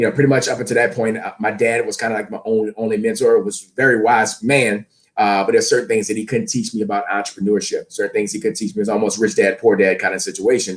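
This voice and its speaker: Barely pausing, a man with an American accent talks at a very fast pace. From US South, New Orleans, Louisiana. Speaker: fitness and leadership coach. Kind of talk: interview. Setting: live stream. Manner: loud; high energy.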